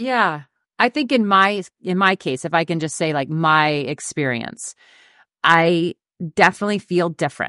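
A woman with an American accent speaks in a plain, everyday voice at a moderate pace and fairly low pitch, with ordinary pitch variation, a quiet background, and a dry, close sound with no echo. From Minnesota, US (small town, Dawson). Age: 40s. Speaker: Olympic runner turned sports broadcaster and coach. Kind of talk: casual podcast interview.

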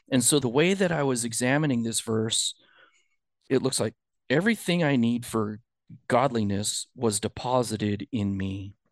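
A man with an unremarkable speaking voice talks at a moderate pace and medium pitch, with ordinary pitch variation. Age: 50s. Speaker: churchgoer, former engineering student. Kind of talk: casual chat.

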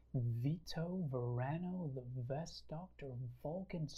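Using a raspy, put-on character voice, a man talks at a fairly high pitch and a fairly slow pace. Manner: playful, pretend-doctor.

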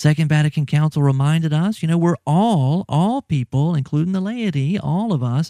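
With an American accent and a dark, mellow tone, a man with a fairly high pitch speaks at a moderate pace on a very clean recording with a silent background and a dry, close sound with no echo. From US South, Louisiana. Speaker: podcast host. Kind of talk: casual chat. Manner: animated, laughs often.

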